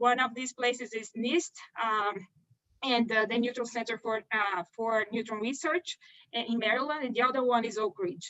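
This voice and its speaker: Her voice is fairly high, with ordinary pitch variation and a Brazilian Portuguese accent. The woman speaks at a moderate pace. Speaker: pharmaceutical research scientist. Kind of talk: career talk seminar. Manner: hesitant, many fillers.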